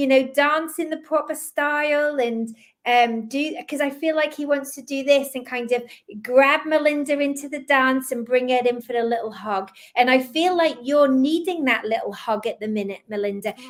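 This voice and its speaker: A woman with a slight Scottish accent speaks at a high pitch with ordinary pitch variation. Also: moderate pace. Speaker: psychic medium. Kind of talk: live psychic reading. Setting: live stream.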